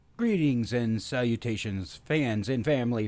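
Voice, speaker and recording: A man uses a plain, everyday voice, keeping a moderate pace and ordinary pitch variation. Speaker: podcast host. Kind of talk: casual talk to camera.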